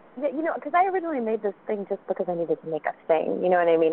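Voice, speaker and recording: With an American accent, a woman is talking. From South Carolina. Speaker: web series creator and actress. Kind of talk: casual interview chat.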